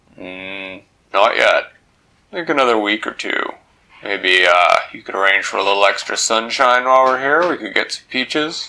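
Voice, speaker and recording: Here a man puts on a character voice. His pitch sits in the medium range. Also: moderate pace. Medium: read story.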